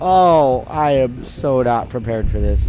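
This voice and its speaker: Audible echo from the room, with music playing in the background. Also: man. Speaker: gaming video creator. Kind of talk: let's play commentary. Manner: casual, hesitant with many fillers. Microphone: microphone had setup problems.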